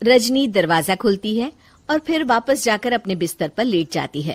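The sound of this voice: A woman talks at a moderate pace and a medium pitch. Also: lively intonation.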